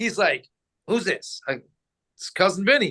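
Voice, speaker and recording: A man's raised, projected voice with a high pitch, a bright, sharp tone and an American accent. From New Jersey, US. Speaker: former radio host, boxing businessman. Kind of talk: casual interview storytelling.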